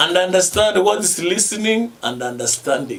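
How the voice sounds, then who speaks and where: A man talks while noticeable noise runs in the background. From Kenya. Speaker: radio host. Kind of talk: radio talk.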